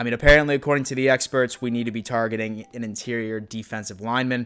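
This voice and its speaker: A man speaks at a fairly quick pace in a medium-pitched voice. Noticeable noise sits in the background. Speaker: YouTube NFL commentator. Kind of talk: casual vlog commentary. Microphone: new microphone.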